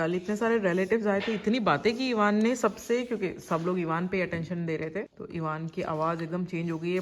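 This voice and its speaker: A plain, everyday voice moves at a moderate pace with ordinary pitch variation. There are hardly any pauses. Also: woman, medium pitch for a woman. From India. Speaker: vlogger. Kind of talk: travel vlog narration.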